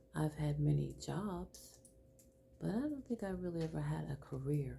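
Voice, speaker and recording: A woman talks at a fairly slow pace in a warm tone. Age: 60s. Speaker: lifestyle vlogger for older women. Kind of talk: personal testimony and advice. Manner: warm, conversational.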